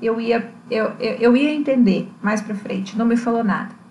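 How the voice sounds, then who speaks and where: Noticeable background noise and audible room echo surround a woman's voice. She has a fairly high pitch and talks at a moderate pace. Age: 30s. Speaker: astrologer and spirituality researcher. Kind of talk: personal testimony.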